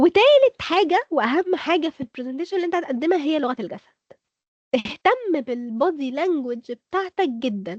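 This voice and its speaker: A woman with an Egyptian accent, high-pitched and animated, with very wide pitch swings at a moderate pace, in a dry, close sound with no echo. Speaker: speaker. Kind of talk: workshop lecture.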